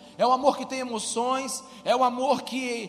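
A man's voice with audible room echo amid noticeable background noise. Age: 40s. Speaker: pastor. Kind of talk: sermon. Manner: animated.

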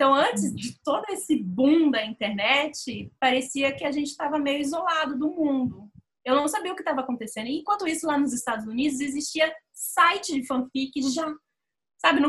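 A woman's voice, high in pitch. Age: 30s. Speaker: fanfiction writer and site moderator. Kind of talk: casual chat.

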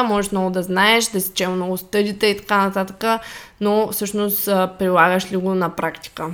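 A woman at medium pitch, speaking at a moderate pace. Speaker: fitness coach podcast co-host. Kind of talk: casual chat.

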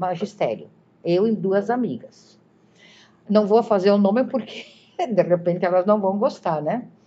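A woman speaks at a fairly slow pace, her medium pitch moving with ordinary variation. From southern Brazil, Galópolis (Caxias do Sul). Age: 60s. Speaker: retired teacher. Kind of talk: interview reminiscence. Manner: halting, many repetitions.

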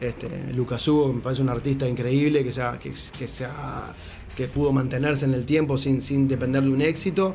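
A man in a Uruguayan accent talks at a moderate pace and medium pitch, with audible room echo and noticeable background noise. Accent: Uruguayan Rioplatense Spanish. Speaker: musician. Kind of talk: casual interview chat.

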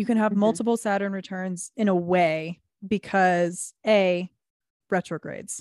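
Recorded very cleanly against a silent background, the sound is dry and close with no echo. A woman speaks in a normal speaking voice at a medium pitch and a moderate pace, with fairly even intonation. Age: 20s. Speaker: podcast co-host. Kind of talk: casual chat.

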